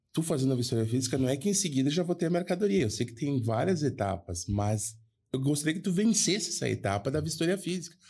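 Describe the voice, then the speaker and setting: The voice is dark and mellow, somewhat breathy, with very wide pitch swings. The pace is very fast. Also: man, fairly high pitch for a man. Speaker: podcast co-host, foreign trade professional. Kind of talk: casual chat, anecdote telling.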